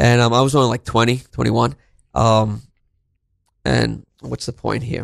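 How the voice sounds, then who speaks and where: Recorded with a dry, close sound with no echo, a man speaks at a moderate pace, leaving long, frequent pauses. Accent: New York. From Brooklyn, New York. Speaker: counselor and teacher. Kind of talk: interview.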